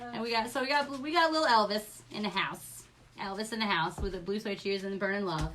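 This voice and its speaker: Over noticeable background noise, a woman with an American accent speaks fairly quickly at medium pitch, her tone animated and her intonation lively. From New York. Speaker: craft supply seller. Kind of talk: live stream product showcase.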